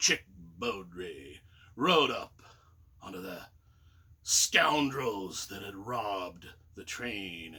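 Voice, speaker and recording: Using a put-on character voice with a Western US accent, a man with a fairly low pitch speaks very slowly, with long, frequent pauses. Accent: old Western drawl. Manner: storytelling.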